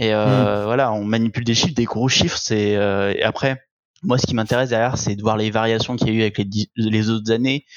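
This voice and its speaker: The man's pitch is medium and his intonation fairly even, in an unremarkable speaking voice. His pace is fairly quick. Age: 20s. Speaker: accountant. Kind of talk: casual interview.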